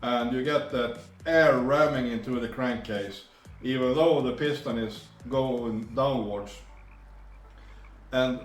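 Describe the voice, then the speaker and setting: A man speaks very slowly in a Swedish accent, his pitch medium with ordinary variation. Room echo is audible and background noise is noticeable. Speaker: two-stroke engine tuner. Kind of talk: tutorial. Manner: halting.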